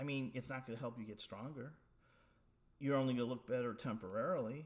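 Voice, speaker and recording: Man's voice at medium pitch with ordinary pitch variation. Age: 60s. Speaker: powerlifter. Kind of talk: casual talk to camera. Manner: hesitant, many filler words.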